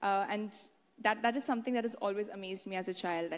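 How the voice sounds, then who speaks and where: A woman speaks with an Indian accent and ordinary pitch variation. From Haryana, India. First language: Haryanvi. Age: 20s. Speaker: beauty pageant winner, medical student. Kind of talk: public speech.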